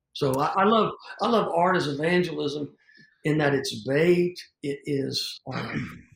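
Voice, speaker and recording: A man with a Southern US accent speaks at a fairly slow pace, his fairly high pitch moving with ordinary variation. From US South. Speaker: evangelist and stage performer. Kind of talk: interview conversation.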